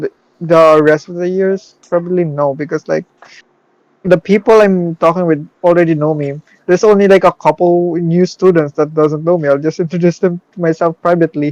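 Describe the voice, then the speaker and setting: With fairly even intonation, a man speaks in a high pitch, and the sound is dry and close with no echo. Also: moderate pace. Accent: non-native. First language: not English. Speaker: podcast co-host. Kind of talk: casual chat. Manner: halting.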